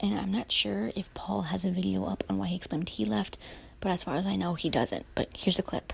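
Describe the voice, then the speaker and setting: A woman talks at a very fast pace with a very deep, low pitch and vocal fry. Her pitch swings very widely. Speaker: YouTuber. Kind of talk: casual rant to camera.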